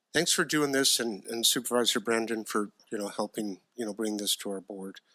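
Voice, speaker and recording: In a very clean recording with a silent background, a man with an American accent talks fairly quickly at a medium pitch, his tone bright and sharp, his pitch variation ordinary, and the sound dry and close with no echo. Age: 60s. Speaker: county supervisor, retired firefighter. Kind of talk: public meeting remarks. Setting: board meeting chamber. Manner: halting, many fillers.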